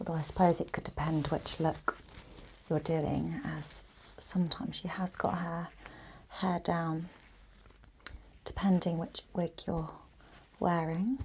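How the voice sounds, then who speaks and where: Soft-spoken and in an English accent, a woman talks at a fairly slow pace, with long, frequent pauses. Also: fairly low pitch for a woman, ordinary pitch variation. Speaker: ASMR creator. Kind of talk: ASMR makeup tutorial.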